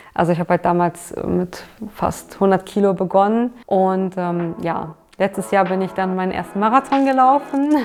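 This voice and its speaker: This woman talks at a moderate pace, her medium-pitched voice carrying lively intonation. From Berlin, Germany. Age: 30s. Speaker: weight-loss success interviewee. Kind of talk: interview testimony. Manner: hesitant, many filler words.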